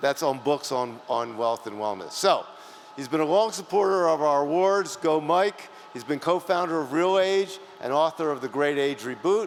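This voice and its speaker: In a normal speaking voice, a man talks with lively intonation at a fairly high pitch. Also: moderate pace. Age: 60s. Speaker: awards presenter. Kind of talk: award ceremony presentation.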